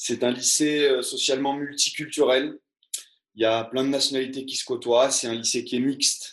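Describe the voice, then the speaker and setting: A man at medium pitch and moderate pace, monotone and flat in intonation. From Var, southern France. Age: 30s. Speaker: teacher. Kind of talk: reading aloud; interview conversation. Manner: halting.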